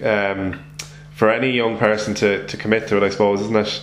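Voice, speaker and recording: A man with an Irish accent speaks at medium pitch and a moderate pace in a monotone, flat intonation. There is noticeable background noise and audible room echo. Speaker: sports podcast host. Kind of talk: casual interview.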